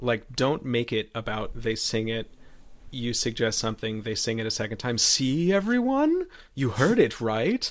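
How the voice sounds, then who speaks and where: This man has a plain, everyday voice with a medium pitch. He talks at a moderate pace with ordinary pitch variation. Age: 40s. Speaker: voice teacher. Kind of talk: casual chat. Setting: video call.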